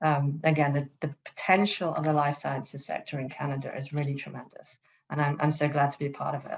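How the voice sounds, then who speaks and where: A woman's very deep, low voice at a fairly quick pace with monotone, flat intonation. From England, London. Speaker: startup CEO, panelist. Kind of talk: panel discussion.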